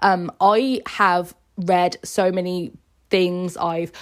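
With a British accent, a woman speaks at a fairly low pitch and with fairly even intonation. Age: 20s. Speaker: podcast host. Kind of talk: personal monologue.

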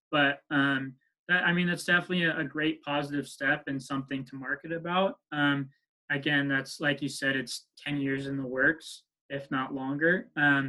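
With an American accent, a man speaks in a fairly high pitch. His pace is moderate and his intonation fairly even. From US West Coast, San Francisco Bay Area. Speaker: business consultant. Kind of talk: interview. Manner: halting, many fillers.

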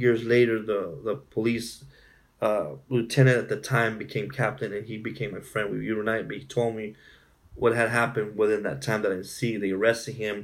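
A man with an American accent speaks with vocal fry. Audible room echo is present. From southern California (Imperial County). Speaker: family social worker. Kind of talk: interview testimony. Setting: in person, San Diego.

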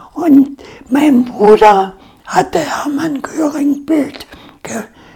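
Noticeable background noise surrounds a woman speaking. Her pitch is high and her intonation lively. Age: 80s+. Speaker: war-era eyewitness. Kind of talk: interview, life story.

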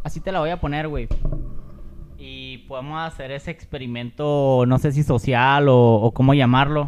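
Here a man with a Mexican accent speaks at a fairly high pitch and a moderate pace. His intonation is fairly even, while his loudness swings widely. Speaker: podcast co-host. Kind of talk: casual chat.

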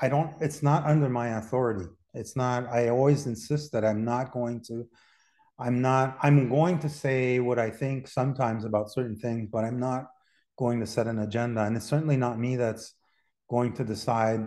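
A man's dark, mellow voice at a moderate pace, with fairly even intonation. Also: medium pitch for a man. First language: French and Spanish. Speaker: artist and gallery owner. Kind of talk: casual interview.

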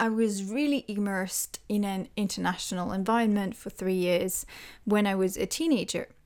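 A woman speaks at a medium pitch with a French accent. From France. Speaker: language teacher. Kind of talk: solo podcast monologue. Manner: slow.

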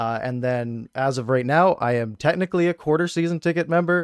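The speaker has an unremarkable speaking voice, moving at a fairly quick pace with ordinary pitch variation. The sound is dry and close, with no echo. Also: man. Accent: Canadian. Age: 20s. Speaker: hockey YouTuber and podcast co-host. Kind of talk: casual sports chat.

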